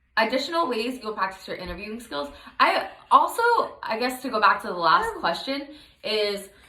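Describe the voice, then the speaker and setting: A woman's fairly high voice at a moderate pace, with very wide pitch swings, big swings in loudness, audible room echo, and noticeable background noise. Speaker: graduate student. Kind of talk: casual self-review monologue.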